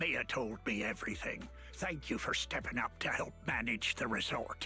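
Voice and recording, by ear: A man's put-on character voice in a medium pitch at a moderate pace, with clear music in the background.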